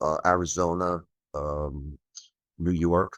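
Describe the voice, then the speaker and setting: The speaker is a man with an American accent. His pitch is very deep and low, and his intonation is fairly even. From New Jersey. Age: 60s. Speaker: UFO investigator. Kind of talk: podcast interview. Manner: casual, hesitant fillers.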